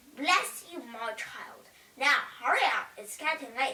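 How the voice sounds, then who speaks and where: A woman puts on a high-pitched character voice and speaks at a fairly slow pace. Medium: read story. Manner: warm, motherly.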